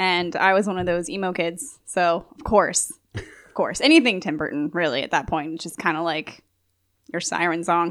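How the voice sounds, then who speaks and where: With a normal speaking voice, a woman at a fairly low pitch talks at a moderate pace with ordinary pitch variation and big swings in loudness, in a very clean recording with a silent background. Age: 20s. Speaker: podcast guest. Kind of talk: casual chat.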